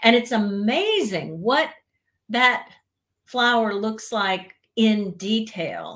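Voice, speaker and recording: A woman with a slight Southern American accent talks at a very slow pace in a fairly high pitch, using ordinary pitch variation and long, frequent pauses. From US South, central Florida. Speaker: etiquette expert. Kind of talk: interview.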